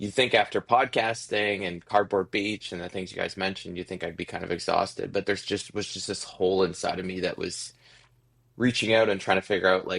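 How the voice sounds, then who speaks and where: A man with a Canadian accent and an ordinary speaking voice, fairly low in pitch, fairly quick and fairly even in intonation, against a quiet background. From Ontario, Canada. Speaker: musician. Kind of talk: interview.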